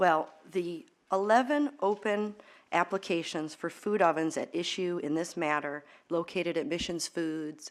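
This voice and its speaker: Here a woman talks with an American accent at a fairly low pitch for a woman and ordinary pitch variation. The recording is very clean with a silent background. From New York State. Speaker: attorney. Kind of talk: legal opening statement. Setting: hearing room. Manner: fast.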